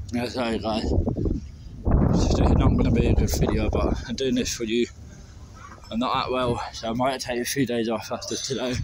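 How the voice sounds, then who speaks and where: At a moderate pace, a man talks with a dry sound and no echo while loud background noise plays. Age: 20s. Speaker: travel vlogger. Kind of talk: walking vlog. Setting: outdoors. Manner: casual, hesitant with fillers. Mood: unwell, apologetic. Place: street. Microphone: phone near.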